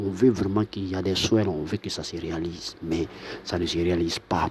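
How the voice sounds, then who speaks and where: A soft-spoken voice at a fairly slow pace. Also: man. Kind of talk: monologue to camera. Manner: halting.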